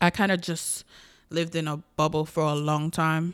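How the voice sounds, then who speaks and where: Speaking at a fairly slow pace, a woman with a Caribbean accent has a fairly low voice, heard on a very clean recording with a silent background. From US Virgin Islands. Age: 20s. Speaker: podcaster. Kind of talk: casual personal monologue. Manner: candid, conversational.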